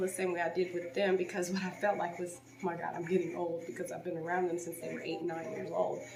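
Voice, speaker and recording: Soft-spoken woman with a fairly low voice at a fairly quick pace, amid noticeable background noise and audible room echo. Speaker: home renovation vlogger. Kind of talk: vlog.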